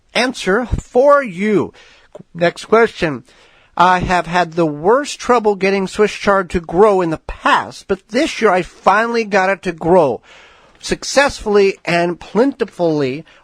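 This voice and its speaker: A fairly slow pace with lively intonation. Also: man, dry, close sound with no echo. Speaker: radio gardening show host. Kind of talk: radio talk show answer.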